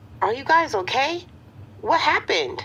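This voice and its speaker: Squeaky and extremely high in pitch, the voice is a put-on character voice. Its pace stays moderate. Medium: audio drama. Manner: calm, directive.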